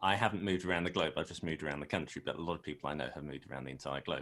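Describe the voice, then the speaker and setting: This man speaks with a British accent, lively intonation and vocal fry. The recording is very clean, with a silent background. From South London, England. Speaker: animator. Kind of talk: interview.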